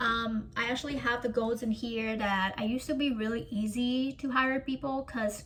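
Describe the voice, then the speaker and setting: A woman speaks at a moderate pace with a non-native accent. Her pitch sits high. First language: not English. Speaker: coaching client. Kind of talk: coaching session. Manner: halting.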